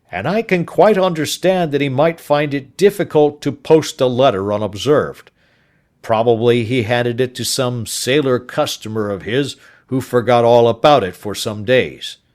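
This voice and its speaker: Using a put-on character voice, a man speaks at a medium pitch. His delivery has lively intonation and moves at a moderate pace. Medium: read story. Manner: brisk, official.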